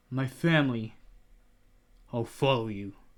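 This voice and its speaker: A man puts on a character voice. He keeps a medium pitch at a moderate pace. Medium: read story.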